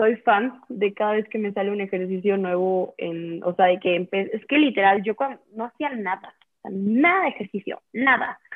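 With a plain, everyday voice, a woman speaks at medium pitch and a moderate pace, with ordinary pitch variation and hardly any pauses. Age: 20s. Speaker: business student. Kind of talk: interview.

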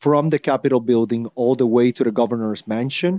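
On a very clean recording with a silent background and a dry, close sound with no echo, a man with a Spanish accent speaks at a moderate pace in a dark, mellow tone with fairly even intonation. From Puerto Rico. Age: 30s. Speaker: politician. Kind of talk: interview. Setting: in person in San Juan.

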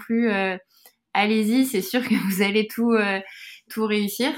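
A woman at medium pitch and a fairly slow pace, with fairly even intonation, on a very clean recording with a silent background. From France, Yvelines near Versailles. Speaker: beauty brand co-founder. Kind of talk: interview. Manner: halting.

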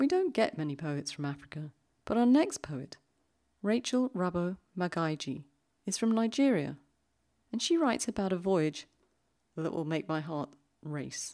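In a very clean recording with a silent background, a woman with a British accent speaks at a moderate pace in a fairly low, dark, mellow voice, with very wide pitch swings and long, frequent pauses. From London, England. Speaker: podcast host. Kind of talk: poetry podcast presenting and reading aloud.

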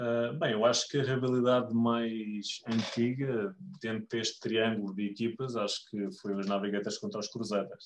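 Fairly even in intonation, a man speaks at a moderate pace and medium pitch. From Lisbon, Portugal. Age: 30s. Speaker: American football club member. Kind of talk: podcast interview. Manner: halting, many fillers.

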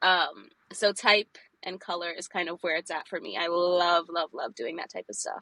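A woman with an American accent speaks in a fairly low pitch with vocal fry and ordinary pitch variation. Her tone is bright and sharp, and the sound is dry and close with no echo. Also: moderate pace. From New York City, Brooklyn. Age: 20s. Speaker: graphic designer and illustrator. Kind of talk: interview, casual chat.

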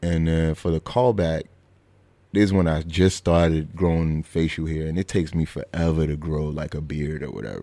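In a Brooklyn accent, a man with a very deep, low pitch and a dark, mellow tone speaks at a fairly quick pace with fairly even intonation, on a very clean recording with a silent background. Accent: New York (Brooklyn). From Brooklyn, New York (Flatbush). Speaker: comedian and actor. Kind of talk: casual chat.

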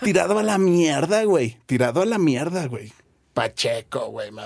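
At a moderate pace and with lively intonation, a man talks in a normal speaking voice. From Guadalajara, Jalisco, Mexico. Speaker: bassist and music producer. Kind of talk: casual interview chat.

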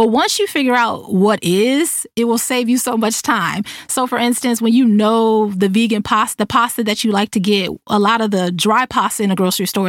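On a very clean recording with a silent background, a woman in an ordinary speaking voice talks at a fairly quick pace with hardly any pauses, very even loudness, a fairly high pitch and ordinary pitch variation. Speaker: podcast host. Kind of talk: solo podcast monologue. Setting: recording in a closet. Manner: laughs often.

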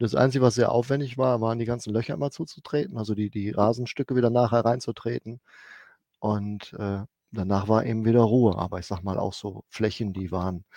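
A man with a fairly low voice speaks at a fairly quick pace with ordinary pitch variation, on a very clean recording with a silent background and a dry, close sound with no echo. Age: 50s. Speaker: head groundskeeper. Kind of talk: interview. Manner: halting.

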